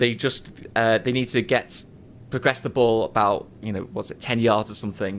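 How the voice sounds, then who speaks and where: With an American accent, a man talks at a moderate pace, his medium-pitched voice showing ordinary pitch variation. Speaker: podcast host. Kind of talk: casual chat. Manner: animated.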